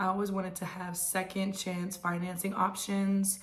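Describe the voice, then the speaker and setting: Speaking in an American accent at a medium pitch, a woman talks fairly slowly in a flat monotone, with room echo and noticeable background noise. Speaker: real estate agent. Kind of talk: casual advice monologue.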